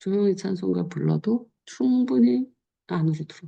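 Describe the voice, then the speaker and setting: A woman with a dark, mellow, somewhat breathy voice speaks at a moderate pace. Her fairly low pitch moves in very wide swings. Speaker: pastor. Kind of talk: sermon. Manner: casual, conversational preaching.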